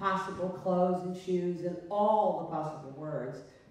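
In a room with strong echo, a woman speaks at a moderate pace. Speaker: guest. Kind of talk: interview answer. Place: stage.

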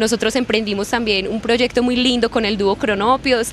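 A woman at a moderate pace, fairly even in intonation, over light background noise. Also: dry sound with no echo. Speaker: actress. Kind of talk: interview answer. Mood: warm, grateful. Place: street. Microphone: handheld.

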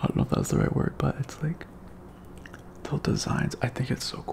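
A man is whispering. He keeps a moderate pace. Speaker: tech unboxing vlogger. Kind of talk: casual vlog chat. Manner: soft-spoken, hushed close-mic ASMR voice. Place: home room. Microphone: studio mic.

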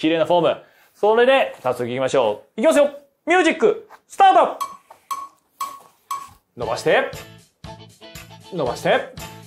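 An upbeat man at a moderate pace, with long, frequent pauses, big swings in loudness, and music in the background. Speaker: voice actor; fitness show host. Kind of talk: workout instruction with counting. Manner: casual, upbeat. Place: studio.

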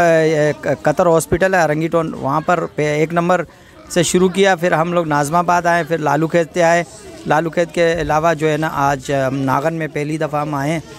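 Crowd noise fills the background as a man talks at a moderate pace in a dry sound with no echo. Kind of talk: interview answer. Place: street. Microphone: handheld.

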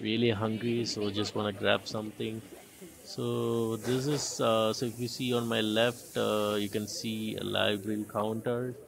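Over light background noise, a man speaks at a fairly slow pace with a fairly low pitch and monotone, flat intonation. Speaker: travel vlogger. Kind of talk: casual vlog chat. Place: open country. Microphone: phone near.

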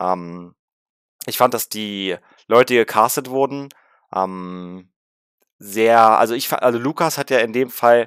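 The background is quiet and the sound is dry with no echo. A man talks at a fairly slow pace in a medium pitch with ordinary pitch variation. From Berlin (Rudow); Berlin. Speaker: gaming YouTuber. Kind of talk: film review vlog. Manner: casual, many filler sounds.

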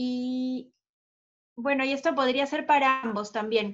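A woman speaks very slowly in a high voice with fairly even intonation over a quiet background. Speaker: event moderator. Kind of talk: moderated webinar. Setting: video call. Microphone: video call.

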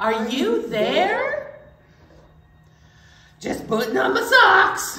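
A female-sounding voice in a put-on character voice speaks at a very slow pace and a high pitch for a woman, with long, frequent pauses and a slight echo. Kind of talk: children's storytime play. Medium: read story. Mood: casual reply.

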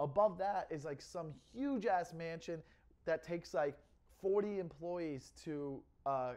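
A man is speaking at a high pitch. His pitch varies in an ordinary way. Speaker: comedian vlogger. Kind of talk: casual vlog chat. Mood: amused, joking. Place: home room. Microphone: lapel.

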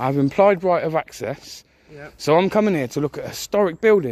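The sound is dry, without any echo. A man speaks at a fairly quick pace. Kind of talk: confrontational argument. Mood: argumentative, assertive. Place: street. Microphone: phone near.

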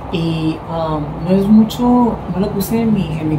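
A woman's voice is heard with noticeable background noise around it. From Mexico, Sonora. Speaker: beauty pageant commentator, vlogger. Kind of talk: casual vlog commentary. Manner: animated. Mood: warm, admiring. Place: home room. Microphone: phone near.

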